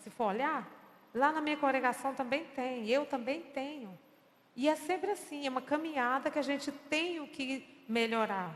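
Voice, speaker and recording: Her pitch high for a woman, she speaks at a moderate pace with ordinary pitch variation. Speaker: choir director giving a church talk. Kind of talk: lecture.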